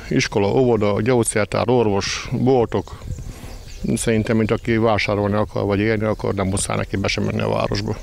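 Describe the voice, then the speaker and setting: A man talks at a fairly quick pace over light background noise. The sound is dry, with no echo. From Püspökladány, eastern Hungary; Hungary. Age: 50s. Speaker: bakery owner. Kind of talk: interview. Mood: calm, content. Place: street. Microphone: handheld.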